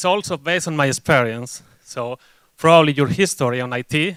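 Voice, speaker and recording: Speaking with a Spanish accent at a moderate pace, a man of medium pitch shows ordinary pitch variation in a dry, close recording with no echo. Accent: Spanish accent, noticeable. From Spain. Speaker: agile delivery consultant, conference speaker. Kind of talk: conference talk. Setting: stage with audience.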